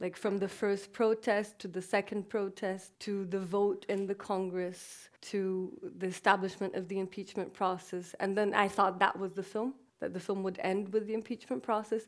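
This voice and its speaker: In a Portuguese accent, the speaker moves at a moderate pace with monotone, flat intonation on a very clean recording with a silent background. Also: woman, medium pitch for a woman. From Brazil. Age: 30s. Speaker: documentary filmmaker. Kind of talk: onstage conversation. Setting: festival stage.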